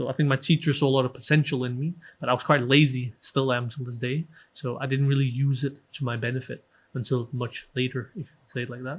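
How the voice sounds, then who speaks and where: On a very clean recording with a silent background, a man with a Danish accent speaks very fast in a somewhat breathy, monotone, flat voice. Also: medium pitch for a man, big swings in loudness. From Denmark. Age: 30s. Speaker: author and Sikh history researcher. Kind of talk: podcast interview.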